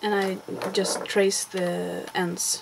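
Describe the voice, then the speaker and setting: A speaker with a Swedish accent talks over noticeable background noise. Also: woman. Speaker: crafter. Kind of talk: tutorial. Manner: halting. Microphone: poor sound.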